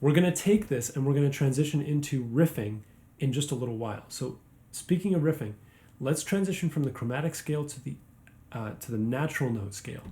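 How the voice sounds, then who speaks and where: Speaking very fast, a man with a fairly high pitch and a dark, mellow tone sounds somewhat breathy, his pitch varying in an ordinary way. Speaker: guitar teacher. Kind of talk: tutorial.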